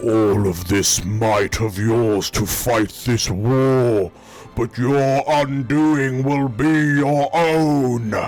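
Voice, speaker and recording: A man does a booming put-on character voice at medium pitch. He speaks very slowly, with very even loudness. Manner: menacing, declaiming.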